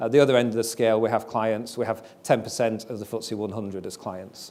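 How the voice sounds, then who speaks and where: A man with a Yorkshire accent. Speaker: company CEO and founder. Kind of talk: investor presentation.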